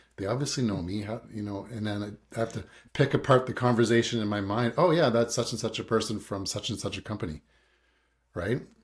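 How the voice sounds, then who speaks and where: Somewhat breathy, a man speaks at a very fast pace with a medium pitch and ordinary pitch variation. The recording is very clean, with a silent background. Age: 40s. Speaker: real estate agent and podcast host. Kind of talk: casual interview chat.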